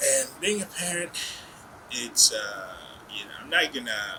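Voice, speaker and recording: Noticeable background noise behind a man's fairly slow speech. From Uganda. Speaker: business executive. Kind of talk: interview.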